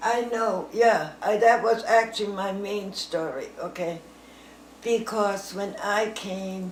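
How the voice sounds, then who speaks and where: Noticeable background noise sits behind a woman speaking at a very slow pace. Her medium pitch carries fairly even intonation. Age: 80s+. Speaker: grandmother telling war memories. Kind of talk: casual storytelling to family, interview answer. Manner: conversational, rambling, halting, with fillers.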